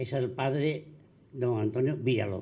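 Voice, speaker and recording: Somewhat breathy and dark, mellow in tone, a man speaks at medium pitch and a fairly slow pace with ordinary pitch variation in a room with audible echo. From Andalusia, Spain (Arcos). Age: 80s+. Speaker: panel guest recalling local history. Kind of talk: public forum talk.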